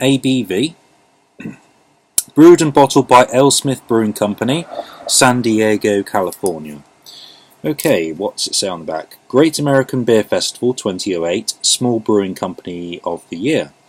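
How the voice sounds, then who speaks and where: In an English accent, a man at medium pitch speaks at a moderate pace with very wide pitch swings, in a dry, close sound with no echo. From England. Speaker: beer reviewer. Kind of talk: casual product review. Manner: halting, many fillers.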